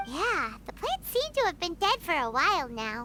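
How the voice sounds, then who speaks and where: A high-pitched, put-on character voice talks at a moderate pace. Clear background noise runs underneath. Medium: short film. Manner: energetic, casual.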